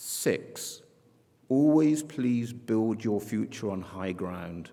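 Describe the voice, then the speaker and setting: With an English accent, a man speaks very slowly in a dark, mellow tone. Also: medium pitch for a man, lively intonation. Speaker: school head. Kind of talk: commencement speech. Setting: graduation ceremony with audience. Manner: formal.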